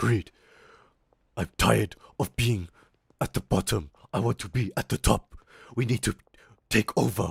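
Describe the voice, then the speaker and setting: In a put-on character voice, a man talks at a fairly low pitch and a moderate pace, with long, frequent pauses. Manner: brutish, aggressive.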